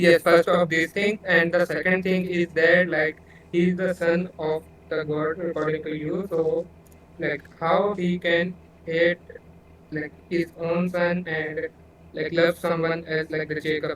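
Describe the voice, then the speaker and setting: Delivery is fairly slow, in a non-native accent. The intonation stays monotone and flat. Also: man, high pitch for a man. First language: not English. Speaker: debater arguing for atheism. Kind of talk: online debate. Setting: voice chat call. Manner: halting.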